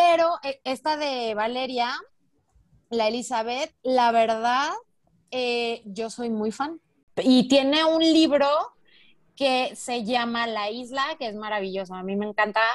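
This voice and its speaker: A woman's high-pitched voice at a very slow pace, with long, frequent pauses and ordinary pitch variation. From Mexico. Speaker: podcast co-host. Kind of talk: casual chat.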